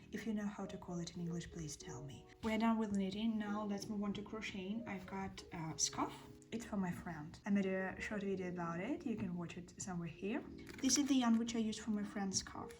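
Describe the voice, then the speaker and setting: With a Russian accent, a woman talks at a fairly quick pace and medium pitch, amid noticeable background noise and audible room echo. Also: ordinary pitch variation. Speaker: craft vlogger. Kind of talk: casual vlog. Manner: hesitant, with fillers.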